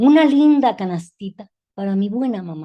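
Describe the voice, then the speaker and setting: A fairly high-pitched woman with a dark, mellow tone and lively intonation, at a fairly slow pace over a quiet background. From Mexico City. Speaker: feminist educator and teacher. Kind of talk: interview. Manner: halting.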